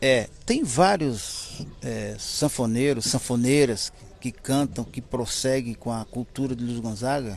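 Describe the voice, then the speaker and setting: A man speaks at a very slow pace in a medium pitch. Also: ordinary pitch variation. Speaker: musician, relative of a famous singer. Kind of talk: interview.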